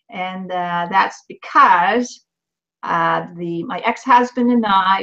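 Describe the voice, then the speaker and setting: In a Swedish accent, a woman speaks at medium pitch with lively intonation. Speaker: intuitive coach and author. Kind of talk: interview on live video show. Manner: halting.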